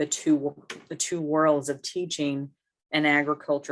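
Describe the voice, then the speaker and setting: A woman speaks at a fairly slow pace in a very deep, low pitch. The background is quiet. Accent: American. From US South, South Texas (Hebbronville). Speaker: professor. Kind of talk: interview. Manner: hesitant, many fillers.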